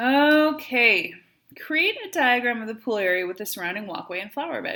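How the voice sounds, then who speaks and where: With a Wisconsin accent, a fairly high-pitched woman speaks at a moderate pace, her pitch swinging very widely. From Wisconsin, US. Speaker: math teacher. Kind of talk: tutorial.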